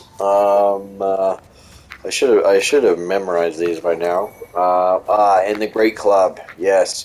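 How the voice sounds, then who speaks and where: Very slow speech over noticeable background noise. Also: man. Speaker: video game guide creator. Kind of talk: gameplay tutorial commentary. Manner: hesitant, many fillers.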